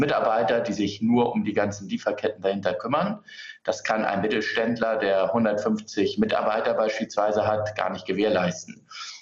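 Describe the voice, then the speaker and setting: A man keeps a moderate pace as noticeable noise sounds in the background. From Hamburg, Germany. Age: 30s. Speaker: politician. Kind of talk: political debate.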